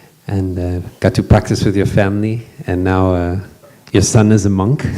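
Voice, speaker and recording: Very deep, low male voice in a monotone, flat delivery at a moderate pace, with noticeable background noise. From Western country. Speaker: monastic panel moderator. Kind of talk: panel introduction at retreat. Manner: halting, many fillers.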